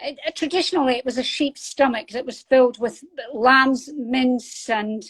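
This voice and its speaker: There is ordinary pitch variation in this woman's high-pitched voice. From northeast Scotland. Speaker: author and military veteran. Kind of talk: interview.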